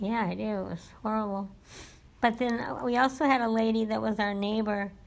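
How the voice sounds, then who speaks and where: At a fairly quick pace, a woman with a normal speaking voice talks in a fairly high pitch that shows ordinary pitch variation. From California, US. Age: 60s. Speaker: family member interviewed about her life. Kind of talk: oral history interview.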